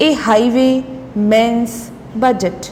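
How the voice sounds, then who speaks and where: A woman with a high pitch talks at a very slow pace. Noticeable background noise sits behind her voice. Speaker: shorthand dictation reader. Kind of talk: shorthand dictation at a set speed, formal political speech text. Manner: slow, measured, deliberate pace.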